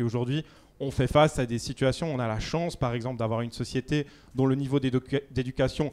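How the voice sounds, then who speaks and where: This man talks at a fairly quick pace, his medium-pitched voice keeping a fairly even intonation. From Switzerland. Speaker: debate panelist. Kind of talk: public debate.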